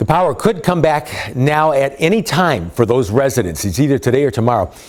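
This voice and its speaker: A man with a fairly high pitch and vocal fry talks at a fairly quick pace, his pitch swinging very widely. His loudness stays very even. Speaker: TV news reporter. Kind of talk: TV news report.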